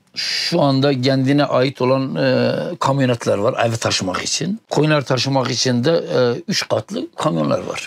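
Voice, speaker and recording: A man's medium-pitched voice, with ordinary pitch variation, moves fairly slowly. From Tunceli, eastern Turkey. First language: Kurdish (speaking Turkish). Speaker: nomadic livestock herder. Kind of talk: interview. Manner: halting.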